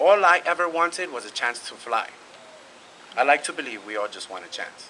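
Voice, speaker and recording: A man with a Spanish accent speaks at a moderate pace over noticeable background noise. His fairly high voice carries lively intonation. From New York City (East Harlem, Brooklyn). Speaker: graduating student speaker. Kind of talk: prepared speech.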